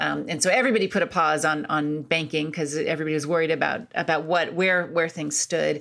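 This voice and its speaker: A woman speaks at a very deep, low pitch with vocal fry and ordinary pitch variation. She goes very fast with hardly any pauses. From US Midwest (Akron, Ohio). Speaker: author and foreign policy scholar. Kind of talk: interview.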